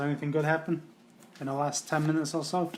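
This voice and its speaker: There is noticeable background noise as a man with a fairly high pitch talks at a very fast pace. His intonation stays monotone and flat. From England. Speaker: trading card case breaker, streamer. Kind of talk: casual live stream chat.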